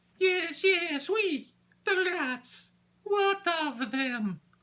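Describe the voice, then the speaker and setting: In a put-on character voice with a French accent, the speaker sounds squeaky, extremely high in pitch, and very slow. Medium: read story. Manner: theatrical.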